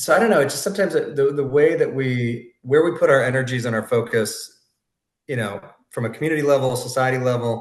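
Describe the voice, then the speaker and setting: A man's somewhat breathy, medium-pitched voice at a very fast pace, with audible room echo. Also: ordinary pitch variation. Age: 40s. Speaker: podcast host. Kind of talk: casual chat.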